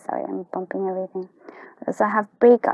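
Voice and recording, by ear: Vocal fry with a slightly mellow tone. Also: woman, dry, close sound with no echo.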